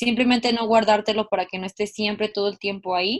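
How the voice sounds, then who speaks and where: With an unremarkable speaking voice, a woman talks at a medium pitch and fairly even intonation. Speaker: student podcast co-host. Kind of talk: casual chat.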